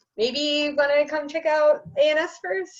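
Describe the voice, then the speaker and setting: A woman speaks loudly. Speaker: hobbyist medieval reenactor. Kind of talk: interview. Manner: casual.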